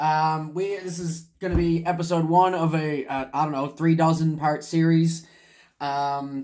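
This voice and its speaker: The voice moves at a fairly slow pace with monotone, flat intonation. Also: man, fairly high pitch for a man. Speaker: stand-up comedian. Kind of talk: casual comedic history reading to camera. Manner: hesitant, rambling.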